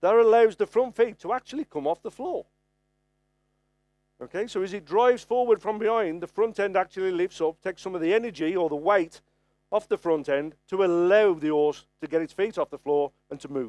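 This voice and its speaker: A man with a Birmingham accent and a high pitch talks at a fairly quick pace with lively intonation, the sound dry and close with no echo. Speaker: farrier presenting at a trade conference. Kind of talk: lecture. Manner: conversational, frequent okay fillers.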